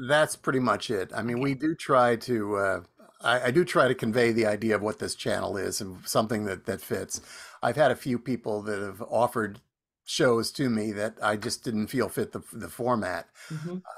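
The speaker has an American accent and a moderate pace. Pitch varies in an ordinary way, and the background is quiet. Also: man, medium pitch for a man. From New Jersey. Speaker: folk radio host. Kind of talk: casual chat. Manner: halting.

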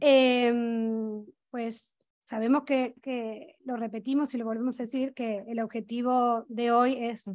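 Over a quiet background, a woman with a fairly high pitch talks in a monotone, flat intonation. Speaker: moderator and presenter; moderator, presenter. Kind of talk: moderated panel discussion. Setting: stage with audience, live and online. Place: studio. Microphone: headset.

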